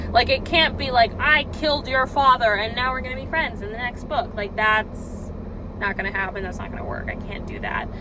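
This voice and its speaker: Over noticeable background noise, the speaker goes at a fairly quick pace with ordinary pitch variation and big swings in loudness. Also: woman, high pitch for a woman. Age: 20s. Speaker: law student and aspiring novelist. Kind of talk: vlog monologue. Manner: casual, hesitant with fillers.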